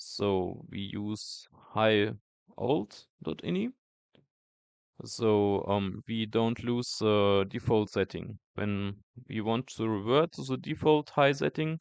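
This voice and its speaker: At a very slow pace, a man with a non-native accent speaks in a fairly low pitch with lively intonation, the sound dry and close with no echo against a quiet background. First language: not English. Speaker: tech youtuber. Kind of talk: tutorial. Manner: halting, many fillers.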